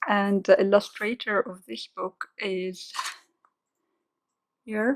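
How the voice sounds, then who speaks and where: At a very slow pace and with fairly even intonation, a woman speaks with a non-native accent, the sound dry and close with no echo. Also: medium pitch for a woman. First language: not English. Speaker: coloring book youtuber. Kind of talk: product showcase. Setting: at home, dining table. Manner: hesitant, many fillers.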